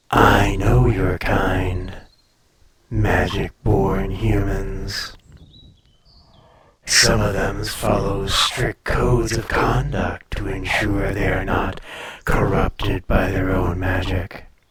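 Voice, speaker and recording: A man puts on a character voice, speaking at a very slow pace with a very deep, low pitch. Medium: audio drama. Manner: languid, superior, teasing.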